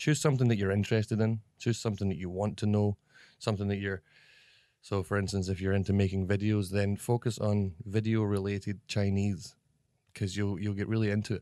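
Dark and mellow in tone, a man talks at a fairly quick pace with a fairly low pitch and fairly even intonation, in a very clean recording with a silent background. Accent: Scottish. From Scotland. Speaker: comedy actor. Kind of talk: interview. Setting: office.

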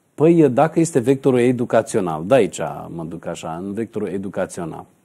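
A man talks at a fairly low pitch with lively intonation and a dark, mellow tone. The background is quiet. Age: 40s. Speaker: numerologist; numerologist show host. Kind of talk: TV talk show interview. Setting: TV studio. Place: studio. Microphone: lapel.

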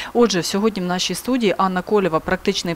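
This woman talks at a very fast pace, her medium pitch moving with ordinary pitch variation. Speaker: TV presenter. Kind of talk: interview. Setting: studio. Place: studio. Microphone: lapel.

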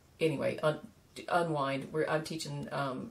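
With a Southern US accent, a woman talks in a very deep, low pitch. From US South, South Carolina. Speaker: knitwear designer and podcaster; podcaster. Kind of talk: casual vlog talk to camera. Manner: halting, many fillers. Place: home room. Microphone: phone near.

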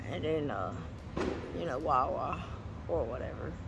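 At a moderate pace, a man talks while noticeable background noise continues. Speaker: vlogger. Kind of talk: casual vlog chat. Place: street. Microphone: phone near.

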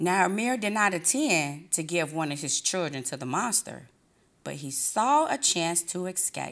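Plain reading aloud is delivered with lively intonation.

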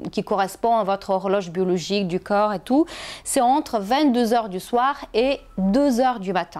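Using lively intonation, a woman with a non-native accent speaks in a fairly high pitch. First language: not French (speaking French). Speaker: health and wellness vlogger; wellness vlogger. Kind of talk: casual advice video to camera. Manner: hesitant with fillers. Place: home room. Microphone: lapel.

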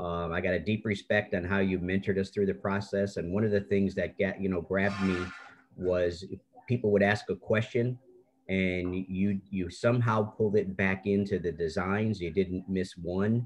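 A man talks at a moderate pace in a fairly low pitch, with flat, monotone intonation. Light background noise is present. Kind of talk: meeting remarks. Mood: warm, appreciative. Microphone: video call.

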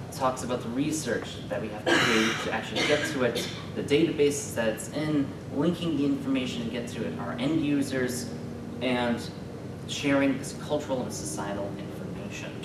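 A man talks at a moderate pace. Loud background noise fills the recording. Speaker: graduate student presenter. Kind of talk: conference presentation. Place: classroom. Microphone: camera far.

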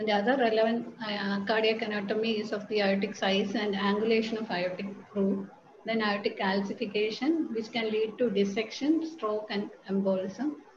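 Against noticeable background noise, a woman talks at a moderate pace with a fairly high pitch and fairly even intonation. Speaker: cath lab technologist. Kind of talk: lecture. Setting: video call.

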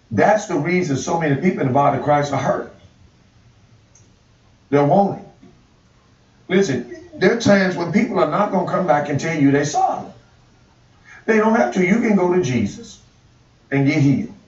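Audible echo from the room follows a man as he talks fairly quickly. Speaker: pastor. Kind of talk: sermon. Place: studio.

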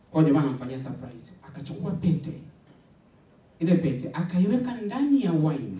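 Lively intonation runs through the speech at a moderate pace. There is audible room echo. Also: man, fairly high pitch for a man. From Arusha, Tanzania; Tanzania. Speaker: stand-up comedian. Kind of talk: stand-up. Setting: stage with audience. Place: stage.

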